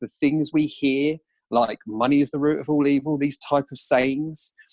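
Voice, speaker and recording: At a moderate pace, a man talks with an Essex accent in a fairly high voice. The sound is dry and close with no echo, in a very clean recording with a silent background. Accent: Colchester. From Essex, Colchester. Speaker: entrepreneur and author. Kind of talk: podcast interview.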